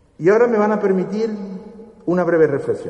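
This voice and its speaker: A man is heard over noticeable background noise. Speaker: presenter introducing the orator. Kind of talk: formal oratorical introduction.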